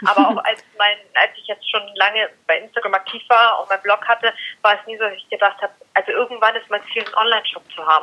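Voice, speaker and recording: A woman talks at a very fast pace in a fairly high voice with fairly even intonation. Her loudness swings widely. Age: 20s. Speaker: dog blogger and influencer. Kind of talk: casual interview.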